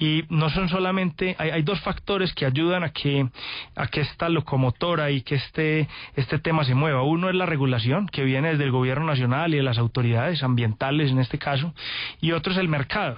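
Fairly high-pitched and somewhat breathy, a man talks at a fairly quick pace with ordinary pitch variation and very even loudness. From Antioquia, Colombia. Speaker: sustainability company executive. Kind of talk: radio interview. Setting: radio studio.

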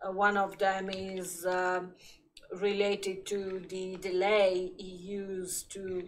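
A woman speaks in an Italian accent at a very slow pace. Her intonation is monotone and flat, with light background noise. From Italy. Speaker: magazine editor and video presenter. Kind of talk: art exhibition review to camera. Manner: halting, many fillers.

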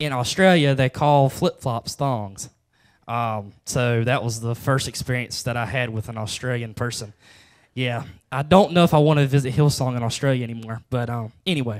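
A man talks with a Southern US accent at a moderate pace and medium pitch. His pitch varies in an ordinary way, and the background is quiet. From US South. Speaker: preacher. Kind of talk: sermon. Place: church. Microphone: handheld.

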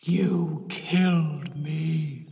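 This is a put-on character voice at a middle pitch. The intonation stays flat and monotone. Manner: terrible, eerie.

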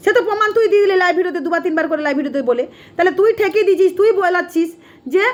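A woman's animated voice, extremely high in pitch, with ordinary pitch variation. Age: 30s. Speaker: temple devotee YouTuber. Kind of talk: angry rant. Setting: temple.

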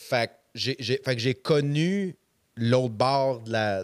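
The voice has ordinary pitch variation, and the background is quiet. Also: man. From Quebec, Montreal. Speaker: stand-up comedian. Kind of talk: casual chat. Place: studio. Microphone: studio mic.

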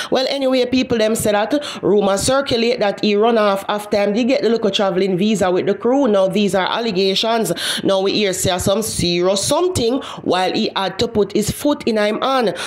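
With noticeable background noise behind her, a woman speaks fairly quickly at a medium pitch, keeping her loudness very even and her pitch variation ordinary. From Jamaica, Kingston. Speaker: YouTube commentary host. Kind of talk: gossip commentary.

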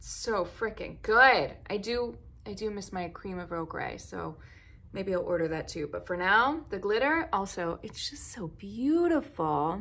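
Her bright, sharp voice carries vocal fry as the woman moves through very wide pitch swings. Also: fairly slow pace, big swings in loudness. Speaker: lifestyle vlogger. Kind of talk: casual vlog chat. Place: home room.

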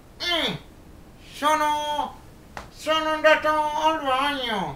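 A cartoonish character voice, high-pitched and very slow, over clear background noise. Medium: puppet. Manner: rude, complaining.

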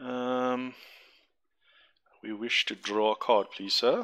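In a non-native accent, a man speaks at a fairly low pitch. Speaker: gamer. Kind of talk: gameplay commentary. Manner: casual, hesitant.

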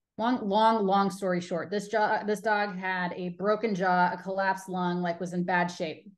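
A woman with an American accent, her intonation monotone and flat, against a quiet background. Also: medium pitch for a woman, moderate pace, hardly any pauses. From Colorado. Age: 40s. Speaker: baseball TV host and reporter; baseball TV host, reporter. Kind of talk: casual interview. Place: home room. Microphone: video call.

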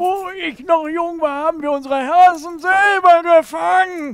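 In a put-on character voice at an extremely high pitch, the speaker moves at a moderate pace.

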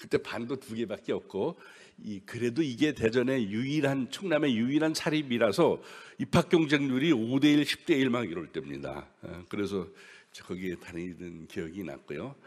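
Vocal fry colors speech at a moderate pace, with very wide pitch swings and big swings in loudness against a quiet background. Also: man. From South Korea, Daejeon; South Korea. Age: 70s. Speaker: scientist giving a lecture; invited guest lecturer. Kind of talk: lecture. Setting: stage with audience. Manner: halting. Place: hall.

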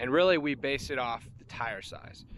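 A man talks at a fairly quick pace with ordinary pitch variation. The sound is dry with no echo, over light background noise. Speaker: off-road vehicle show host. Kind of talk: presenter explanation to camera. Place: open country.

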